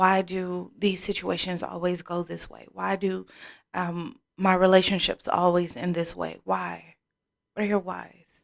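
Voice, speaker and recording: Soft-spoken, a woman talks at a fairly slow pace with big swings in loudness. The recording is very clean, with a silent background. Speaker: tarot card reader. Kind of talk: oracle card reading.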